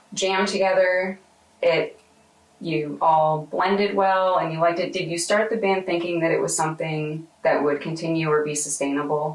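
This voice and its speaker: A woman speaks in an ordinary speaking voice, fairly low in pitch, at a moderate pace with fairly even intonation. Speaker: oral historian interviewer. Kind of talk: interview questions.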